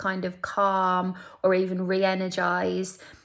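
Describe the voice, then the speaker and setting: A medium-pitched woman with a Birmingham accent. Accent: Birmingham (Brummie). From Birmingham, English Midlands. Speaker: beauty vlogger. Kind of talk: casual beauty tutorial. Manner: chatty, conversational.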